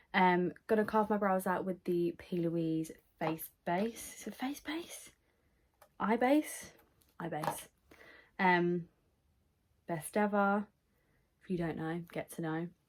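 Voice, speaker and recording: A woman with a British accent at medium pitch, ordinary pitch variation and a very slow pace with long, frequent pauses. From UK. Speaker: beauty vlogger. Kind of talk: makeup tutorial. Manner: casual, filler-heavy. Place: home room. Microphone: phone near.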